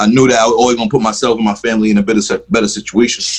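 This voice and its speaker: The delivery is very fast. It comes from a man whose pitch shifts in a typical way. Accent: strong New York. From New York (Bronx), then Capitol Heights near D.C. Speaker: rapper and music producer. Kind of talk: casual interview chat.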